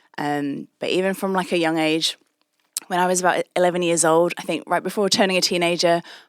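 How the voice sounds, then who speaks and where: With a British accent, a woman speaks at a fairly quick pace with fairly even intonation. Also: fairly low pitch for a woman. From England. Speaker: anti-trafficking charity executive. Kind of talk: interview.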